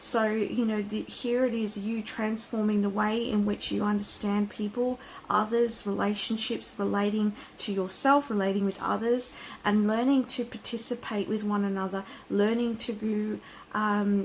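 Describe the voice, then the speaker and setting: A woman talks with a fairly high pitch. Her intonation is monotone and flat. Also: moderate pace. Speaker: tarot card reader. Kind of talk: pick-a-card reading. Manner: hesitant with fillers.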